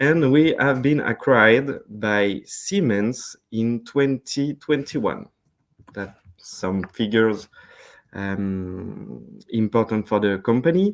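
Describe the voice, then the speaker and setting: Very slowly, a man with a French accent and medium pitch speaks with lively intonation. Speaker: sales representative. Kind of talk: webinar presentation. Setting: online webinar. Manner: hesitant, many fillers.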